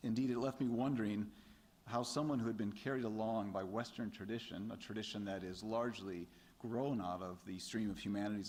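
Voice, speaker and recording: A man with an American accent, fairly low in pitch, at a fairly quick pace with ordinary pitch variation and audible room echo. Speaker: theology lecturer giving a response. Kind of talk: lecture response remarks. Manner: halting, many fillers.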